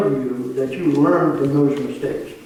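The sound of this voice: A man with a dark, mellow tone is heard with strong room echo.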